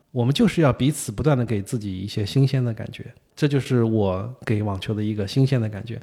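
A man at medium pitch speaks in a dark, mellow, somewhat breathy tone. His pace is fairly quick, with ordinary pitch variation. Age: 50s. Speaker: tennis journalist. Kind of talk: casual interview.

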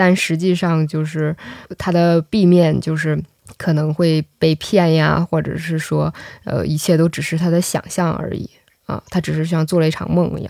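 In a plain, everyday voice, the woman goes along at a moderate pace. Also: dry, close sound with no echo. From northeast China. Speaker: podcast host. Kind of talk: interview.

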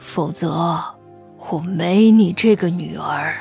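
A raspy put-on character voice at a middle pitch talks at a very slow pace, with faint music in the background. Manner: flat, cool, threatening.

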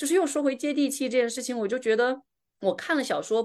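A woman with a Guilin accent and vocal fry, over a quiet background. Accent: Guilin-accented Mandarin. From southern China. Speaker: podcast host. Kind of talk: casual chat.

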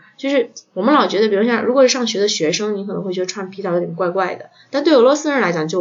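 Lively intonation from a woman at a medium pitch, talking at a very fast pace. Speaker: podcast host. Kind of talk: casual chat. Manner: hesitant with many fillers.

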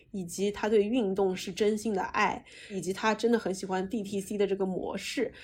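A somewhat breathy voice at a moderate pace. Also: woman, medium pitch for a woman. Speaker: podcast host and marketing company founder. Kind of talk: casual interview chat. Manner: fiery, energetic.

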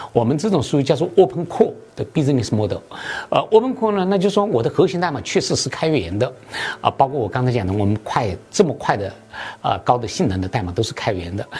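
Noticeable background noise sits behind a man talking at a very fast pace. His fairly high voice swings very widely in pitch. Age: 50s. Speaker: tech startup founder and CEO. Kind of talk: interview. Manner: hesitant, many fillers (啊、呃).

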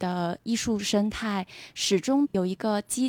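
In a normal speaking voice, a woman talks at medium pitch with ordinary pitch variation, the sound dry and close with no echo. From Beijing. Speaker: art institution worker. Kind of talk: casual interview chat.

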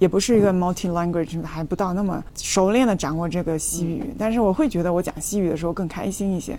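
Over noticeable background noise, a woman at medium pitch talks at a very fast pace with hardly any pauses. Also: ordinary pitch variation. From China, Fujian. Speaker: traveller, former tech company employee. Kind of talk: casual interview chat.

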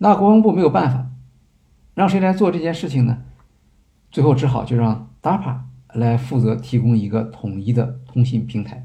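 Speaking at a moderate pace with long, frequent pauses, a man uses lively intonation in a somewhat breathy voice with a dark, mellow tone, and audible room echo surrounds him. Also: medium pitch for a man. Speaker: podcast host. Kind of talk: lecture-style monologue. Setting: live stream. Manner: hesitant fillers.

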